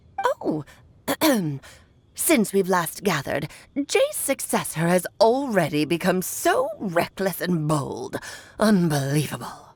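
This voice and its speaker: Using a put-on character voice, a woman talks at a medium pitch and a fairly slow pace, with long, frequent pauses. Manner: imitating another character's voice.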